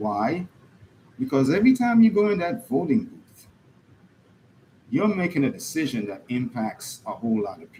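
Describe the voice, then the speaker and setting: With a Caribbean accent, a man speaks at a moderate pace in a high pitch and a dark, mellow tone, making very wide pitch swings and taking long, frequent pauses. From Caribbean, US Virgin Islands. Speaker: political commentator. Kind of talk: monologue. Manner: animated.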